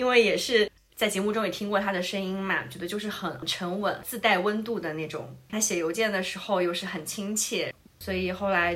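A woman at medium pitch talks at a moderate pace with fairly even intonation, with noticeable background noise behind her. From southern China. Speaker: podcast host. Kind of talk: casual chat.

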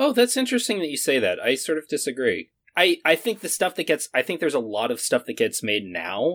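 On a very clean recording with a silent background and a dry, close sound with no echo, a man with a fairly high pitch and vocal fry talks at a fairly quick pace with hardly any pauses and very wide pitch swings. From Maine. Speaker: animation professor. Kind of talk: casual chat.

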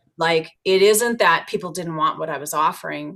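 A woman speaks in an unremarkable speaking voice, pitched fairly low. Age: 40s. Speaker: yoga teacher and business owner. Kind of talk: casual interview chat.

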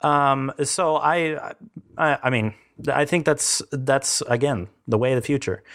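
In a very clean recording with a silent background, a man with an ordinary speaking voice talks at a fairly slow pace and a fairly high pitch, showing ordinary pitch variation and very even loudness. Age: 20s. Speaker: podcast host. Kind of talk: casual interview.

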